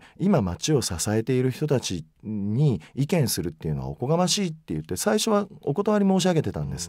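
A man's dark, mellow voice moves through very wide pitch swings, recorded dry with no echo against a quiet background. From Mie Prefecture, Japan (Ise area); Mie Prefecture. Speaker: magazine editor-in-chief; interview guest. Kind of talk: radio interview. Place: booth. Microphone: studio mic.

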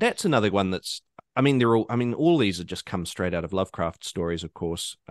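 A man with a New Zealand accent, medium pitch and fairly quick pace, in a dry, close sound with no echo and a quiet background. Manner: conversational, hesitant, many fillers.

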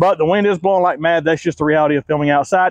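A man talking at a very fast pace with ordinary pitch variation, in a dry sound with no echo and a quiet background. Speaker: car reviewer. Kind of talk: car review presentation.

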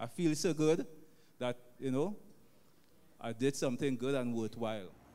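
A man with a Trinidadian accent talks at a fairly high pitch. He keeps a moderate pace and ordinary pitch variation. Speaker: taxi driver. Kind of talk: testimony. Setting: church.

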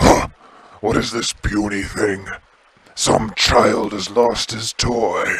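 Using a put-on character voice, a man speaks in a booming, raspy tone at a medium pitch. He goes at a very slow pace with long, frequent pauses. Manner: bellowing, scornful.

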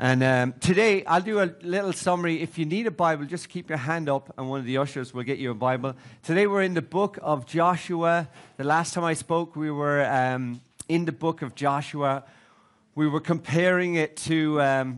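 Quiet surroundings, a man's moderately paced speech, ordinary pitch variation. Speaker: preacher. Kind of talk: sermon. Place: hall.

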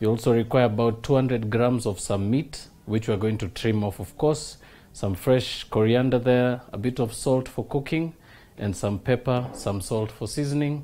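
A man's somewhat breathy voice has a dark, mellow tone, with light background noise behind it. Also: ordinary pitch variation, moderate pace. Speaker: TV cooking show host. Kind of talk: tutorial. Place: studio.

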